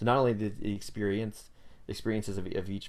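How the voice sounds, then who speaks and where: This man's voice sits fairly low. He talks at a very fast pace. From US South, North Carolina. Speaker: worship leader. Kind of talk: casual interview.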